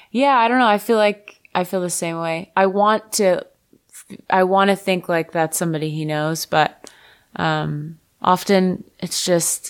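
A woman uses a normal speaking voice at a fairly low pitch and fairly slow pace, with ordinary pitch variation, in a very clean recording with a silent background. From Florida, Fort Lauderdale. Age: 30s. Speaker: singer-songwriter. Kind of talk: casual chat.

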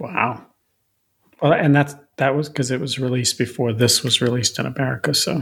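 Fairly quick and fairly even in intonation, a man speaks in an unremarkable speaking voice. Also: medium pitch for a man. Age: 50s. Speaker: music podcast co-host. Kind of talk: casual chat.

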